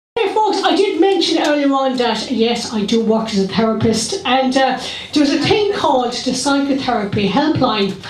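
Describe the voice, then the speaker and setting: There is audible room echo around a woman's high-pitched voice. She moves at a moderate pace with very wide pitch swings. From Ireland, County Clare. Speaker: stand-up comedian. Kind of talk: live stand-up comedy set. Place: stage.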